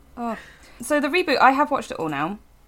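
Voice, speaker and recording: A woman talking very fast with very wide pitch swings, in a very clean recording over a silent background. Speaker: pop culture writer and podcast co-host. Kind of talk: casual chat.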